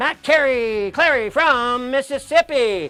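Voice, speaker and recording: This is a man speaking. His voice is raised and projected. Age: 60s. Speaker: chef and cooking show host. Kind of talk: live cooking show with giveaway. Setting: home studio. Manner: energetic; fast.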